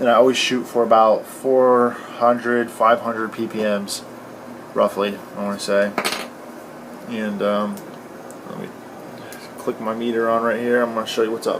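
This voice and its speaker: Amid noticeable background noise and audible room echo, a man speaks in a monotone, flat intonation at a moderate pace, with long, frequent pauses. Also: medium pitch for a man. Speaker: cannabis grower tutorial youtuber. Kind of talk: tutorial. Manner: many fillers and hesitations.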